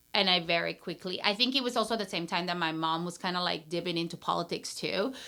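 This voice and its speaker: A woman with a Peruvian accent, fairly low-pitched for a woman, talking very fast on a very clean recording with a silent background. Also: ordinary pitch variation. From Peru, Lima. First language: Spanish. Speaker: brand strategist and entrepreneur. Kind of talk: casual interview chat.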